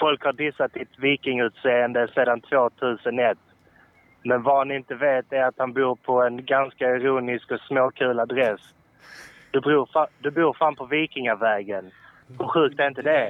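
Here a man speaks at a moderate pace and medium pitch. His intonation is fairly even, and he has an unremarkable speaking voice. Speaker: caller. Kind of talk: casual chat. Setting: phone call.

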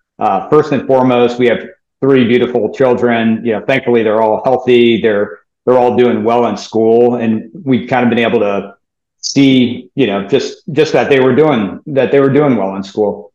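A man with an American accent speaks at a medium pitch and a moderate pace. He has an unremarkable speaking voice. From US South, New Orleans. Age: 40s. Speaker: fund manager. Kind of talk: interview.

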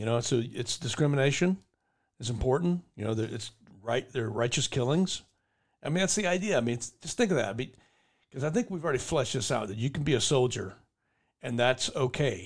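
A man speaks at a medium pitch, somewhat breathy, with lively intonation and long, frequent pauses. The recording is very clean, and the background is silent. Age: 50s. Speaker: podcast host, army veteran. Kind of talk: casual chat.

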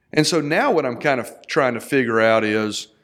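With a Texan accent, a man speaks at a medium pitch with ordinary pitch variation. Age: 40s. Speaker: entrepreneur. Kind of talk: casual chat.

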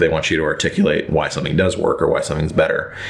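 Over noticeable background noise and audible room echo, a man is speaking. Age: 30s. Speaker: screenwriter. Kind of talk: interview. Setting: studio.

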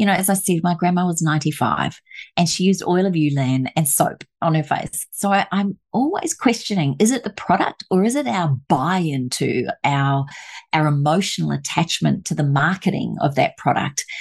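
A somewhat breathy woman's voice, fairly low in pitch, with lively intonation at a moderate pace. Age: 50s. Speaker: aromatherapist and author.

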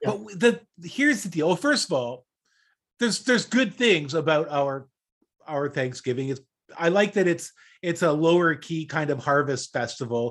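With a Canadian accent, a man uses an ordinary speaking voice at a fairly high pitch, with lively intonation and a moderate pace. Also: very clean recording, silent background. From Canada, Toronto area. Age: 60s. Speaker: podcast co-host. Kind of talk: casual chat.

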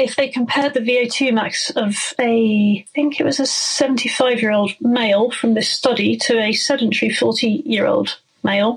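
A moderate pace in a southwest English accent, with fairly even intonation and very even loudness. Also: woman, high pitch for a woman. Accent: south-west English. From Somerset, south-west England. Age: 40s. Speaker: mountain bike guide and downhill racer. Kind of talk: casual interview.

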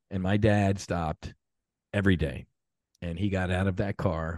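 A man with a very deep, low pitch speaks in an American accent at a moderate pace and fairly even intonation. The sound is dry and close with no echo, against a quiet background. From US Northeast, South Jersey (Jersey Shore). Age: 50s. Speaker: former navy fighter pilot. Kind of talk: interview. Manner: hesitant, many fillers.

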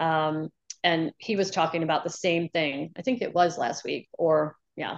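A woman with an unremarkable speaking voice talks at a fairly slow pace and fairly low pitch, with ordinary pitch variation, in a dry, close sound with no echo. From US South, New Orleans, Louisiana. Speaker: nurse practitioner. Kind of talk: casual chat.

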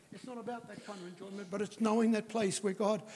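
With a New Zealand accent, a man talks at a fairly quick pace in a high pitch. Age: 80s+. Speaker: guest preacher. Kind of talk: sermon. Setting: church. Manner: talkative.

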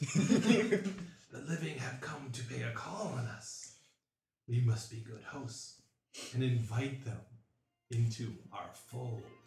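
A man's raspy, whispering put-on character voice, fairly slow, with long, frequent pauses and a slight echo.

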